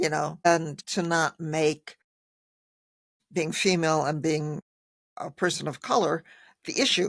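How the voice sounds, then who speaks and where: In a very clean recording with a silent background, a woman talks at a fairly slow pace with a fairly low pitch and ordinary pitch variation. Her long, frequent pauses come through in a dry, close sound with no echo. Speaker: podcast host and pastor. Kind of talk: interview.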